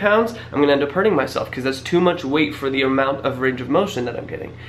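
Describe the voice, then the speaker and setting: A man speaks with ordinary pitch variation. Audible room echo and noticeable background noise surround his voice. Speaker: fitness youtuber. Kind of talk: casual tutorial to camera. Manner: fast.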